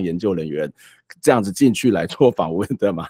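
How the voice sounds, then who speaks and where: The man's tone is dark and mellow. The sound is dry with no echo, and the background is quiet. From Taiwan. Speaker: talk show host. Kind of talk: interview. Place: home room. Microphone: studio mic.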